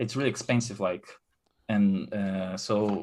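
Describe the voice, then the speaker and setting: A man with a Brazilian Portuguese accent and a fairly low pitch. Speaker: caller, book fan. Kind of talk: live call-in chat. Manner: halting, repeats words.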